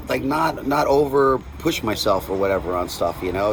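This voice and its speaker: There is noticeable background noise behind this man. He talks at a moderate pace with ordinary pitch variation. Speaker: death metal guitarist and vocalist. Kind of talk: interview. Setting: after a show, quiet area. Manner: casual, halting with many fillers.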